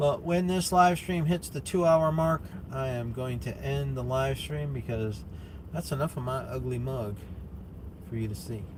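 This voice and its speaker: The room echo is audible. In it, a man speaks at a medium speed. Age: 50s. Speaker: musician and live streamer. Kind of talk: casual live stream chat. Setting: at work, on the road. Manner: halting, repeats words.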